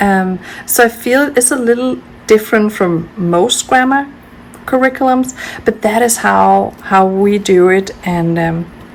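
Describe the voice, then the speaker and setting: With a Danish accent, a woman talks at a fairly slow pace and a fairly high pitch. Her pitch varies in an ordinary way, and there is noticeable background noise. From Denmark. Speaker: homeschooling parent, video creator. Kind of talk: casual tutorial. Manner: hesitant, many fillers.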